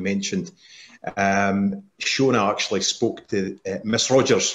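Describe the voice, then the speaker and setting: A man talks with a strong Scottish accent. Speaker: parent on a twinning panel. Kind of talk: panel discussion. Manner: halting, many repeats.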